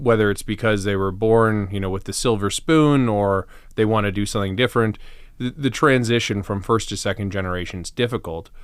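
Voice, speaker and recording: Recorded very cleanly against a silent background, a man with an unremarkable speaking voice talks at a fairly quick pace and fairly low pitch, with ordinary pitch variation. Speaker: podcast host. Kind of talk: interview question.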